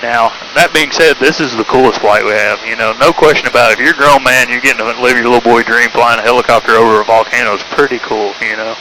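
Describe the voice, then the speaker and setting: A man with a Tennessee accent speaks very fast, with hardly any pauses. His medium-pitched voice holds fairly even intonation against noticeable background noise. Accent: Southern US (Tennessee). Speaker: helicopter tour pilot. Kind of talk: tour guide narration. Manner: casual, chatty.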